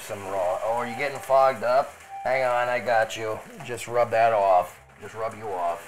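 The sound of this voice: The reading voice is unforced. Pitch shifts ordinarily throughout.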